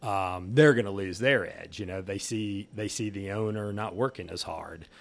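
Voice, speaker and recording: A man with a plain, everyday voice speaks at a moderate pace and a fairly low pitch on a very clean recording with a silent background. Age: 50s. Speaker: manufacturing company founder. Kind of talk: interview. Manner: casual, with frequent fillers.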